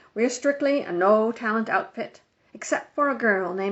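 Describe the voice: The background stays quiet. Over it, someone does plain reading aloud.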